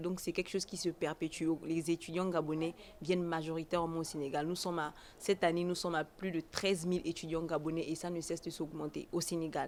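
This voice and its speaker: A woman talks at a fairly quick pace in a fairly low voice with monotone, flat intonation. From Gabon. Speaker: foreign student. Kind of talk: interview. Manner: halting.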